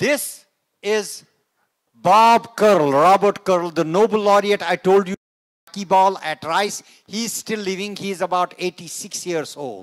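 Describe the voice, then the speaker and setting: Against a quiet background, a man with a high voice speaks very slowly with ordinary pitch variation and long, frequent pauses. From India, Kashmir. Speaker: NASA scientist; guest lecturer. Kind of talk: lecture. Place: hall.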